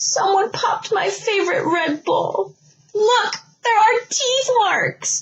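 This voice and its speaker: A woman speaks in a put-on character voice at an extremely high pitch. Her pace is fairly slow. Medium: read story. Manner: excitable.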